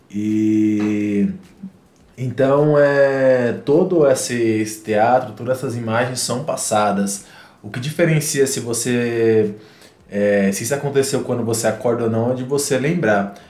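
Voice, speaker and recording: A man speaks at a very slow pace in a medium pitch with ordinary pitch variation. Audible room echo surrounds his voice. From Northeast Brazil. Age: 30s. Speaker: psychoanalysis student and musician. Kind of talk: casual chat.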